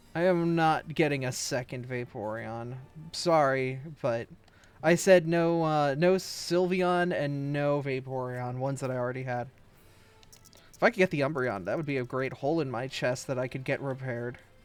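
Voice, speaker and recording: Music plays in the background as a man talks with ordinary pitch variation at a fairly high pitch. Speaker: VTuber streamer. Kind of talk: casual gaming livestream chat.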